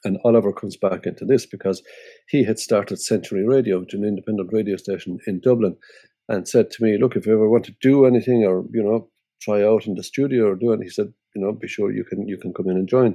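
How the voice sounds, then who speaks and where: A man with an Irish accent talks very fast at a fairly low pitch. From Ireland. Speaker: musician and radio presenter. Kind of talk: interview. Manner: halting.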